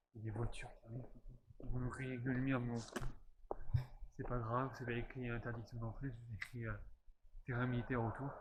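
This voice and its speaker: A man with a medium pitch and a somewhat breathy voice speaks in a monotone, flat way at a fairly quick pace. He leaves long, frequent pauses, and the room echo is audible. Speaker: urban explorer vlogger. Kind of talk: casual vlog narration. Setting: outdoors.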